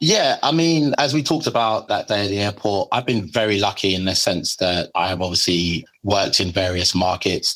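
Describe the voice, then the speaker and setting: A man with a strong British accent, fairly low pitch, lively intonation, moderate pace and hardly any pauses, on a very clean recording with a silent background. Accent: heavy British. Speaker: legal marketing manager. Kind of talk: podcast interview. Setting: airport.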